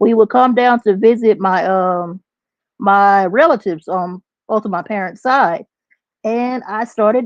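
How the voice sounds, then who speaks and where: The voice carries a Texas accent. The pace is moderate and the intonation lively. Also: woman. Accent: country Texas. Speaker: substitute teacher and memoir author. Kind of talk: podcast interview.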